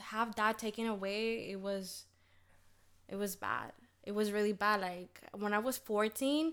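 Speaking at a fairly slow pace, a woman with a Spanish accent has a fairly high pitch. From Dominican Republic. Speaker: TV newscaster. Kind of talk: casual chat.

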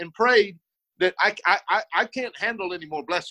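Raising and projecting his voice, a man speaks at a moderate pace with a bright, sharp tone and ordinary pitch variation, in a dry, close sound with no echo. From South Texas. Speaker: war veteran and former policeman. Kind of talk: interview. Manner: halting.

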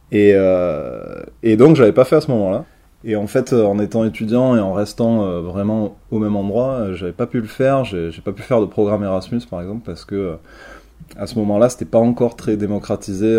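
A man's fairly low, dark, mellow voice at a fairly quick pace, with ordinary pitch variation and big swings in loudness. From Marseille, southern France. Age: 30s. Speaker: traveller recounting a working holiday. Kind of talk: interview testimony. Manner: halting, many fillers and repetitions.

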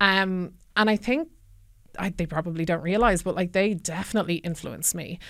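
In a very clean recording with a silent background, the speaker talks with an Irish accent at a moderate pace and with fairly even intonation. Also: woman, medium pitch for a woman. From Ireland, County Kildare. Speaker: former army officer, tech trust and safety manager. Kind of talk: casual interview. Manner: hesitant, many fillers.

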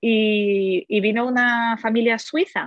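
The speaker is a woman with a fairly high voice. The rise and fall of her pitch is ordinary. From Poland, then Germany. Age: 30s. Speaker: language teacher and editor. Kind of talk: interview. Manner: halting, with repetitions.

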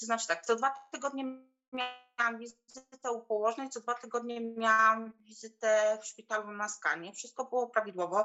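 Over music in the background, a woman talks at a fairly high pitch with fairly even intonation. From Poland, small village. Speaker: mother sharing birth story. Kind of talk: testimony.

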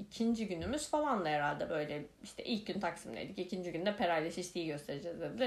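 A woman speaks at a fairly quick pace. An audible room echo surrounds her voice. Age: 30s. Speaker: podcast host. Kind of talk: casual monologue. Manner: many filler hesitations.

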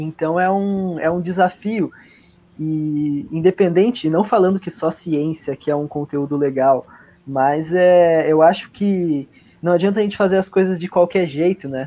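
A man with a dark, mellow tone and a high pitch speaks fairly slowly, his pitch varying in an ordinary way. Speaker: history teacher and student, podcast co-host. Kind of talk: casual chat. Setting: live stream.

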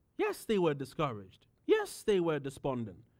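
With a British accent, a man speaks at a fairly slow pace. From United Kingdom. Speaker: pastor. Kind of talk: sermon.

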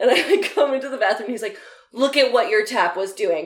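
In an animated tone, a woman with a fairly high pitch races along at a very fast pace with lively intonation. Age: 30s. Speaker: comedian. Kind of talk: casual chat.

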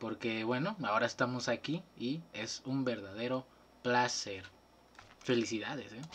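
The man's animated tone sits at medium pitch, with ordinary pitch variation and a fairly slow pace. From Veracruz, Mexico. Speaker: student podcast host. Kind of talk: casual chat. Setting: video call.

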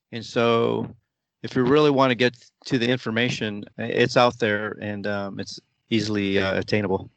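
This man has an unremarkable speaking voice at a medium pitch. His intonation is fairly even and his pace moderate. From United States (moved from the Philippines at age four). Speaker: football supporters club president. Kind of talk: interview.

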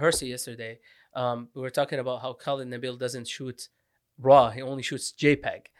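A man talks at a moderate pace with big swings in loudness in a very clean recording with a silent background. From Middle East (Iraq, Syria, Lebanon). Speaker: podcast host. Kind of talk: casual chat.

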